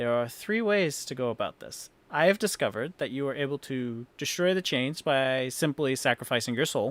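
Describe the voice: The text is read aloud plainly with lively intonation.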